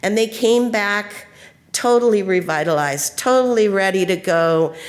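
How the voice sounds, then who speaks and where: A woman speaks at a fairly slow pace, her medium pitch moving with ordinary variation. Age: 60s. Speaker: community centre leader. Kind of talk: panel talk. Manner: hesitant with filler words.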